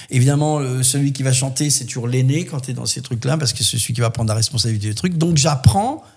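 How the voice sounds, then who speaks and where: A man talks at a very fast pace with a medium pitch and ordinary pitch variation. His voice is somewhat breathy. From southwest France (Landes). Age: 60s. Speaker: voice actor and musician. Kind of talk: podcast interview, life story.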